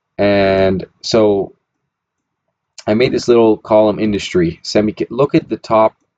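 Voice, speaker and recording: A man with a fairly low voice. His intonation is lively. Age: 20s. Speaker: personal finance youtuber. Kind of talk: casual screen-share commentary. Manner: halting, many fillers and restarts.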